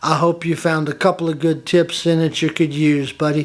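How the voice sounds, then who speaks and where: A man speaks in a fairly high voice with a Southern US accent. His intonation is monotone and flat, and his pace is moderate. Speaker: woodworking hobbyist YouTuber. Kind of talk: tutorial. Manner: friendly and casual.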